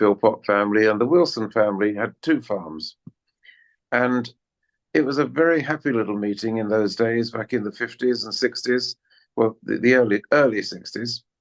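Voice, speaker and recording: A man with a southern English accent speaks at a moderate pace, his medium pitch rising and falling by an ordinary amount. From southeast England (Kent). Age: 70s. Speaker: former church member. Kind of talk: podcast interview.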